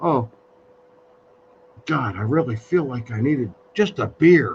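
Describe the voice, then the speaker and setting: A man with a medium pitch talks at a fairly slow pace with lively intonation. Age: 60s. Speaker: live stream host. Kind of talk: casual chat. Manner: halting.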